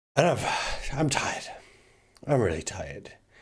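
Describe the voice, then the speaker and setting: A man is heard with audible room echo. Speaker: self-help vlogger. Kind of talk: casual vlog talk to camera. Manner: halting, low energy.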